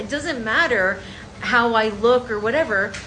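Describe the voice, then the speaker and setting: Audible room echo surrounds a woman with an American accent and a high pitch. Her tone is animated, bright and sharp. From New York, Colombian family. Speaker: content creator. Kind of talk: vlog monologue.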